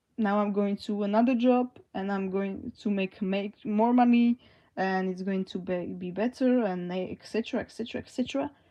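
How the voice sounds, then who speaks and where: A woman with a non-native accent speaks in a dark, mellow tone with fairly even intonation and big swings in loudness against a quiet background. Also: medium pitch for a woman, moderate pace. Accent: foreign. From Slovakia. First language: Slovak. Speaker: livestreamer. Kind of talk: live stream chat. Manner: halting.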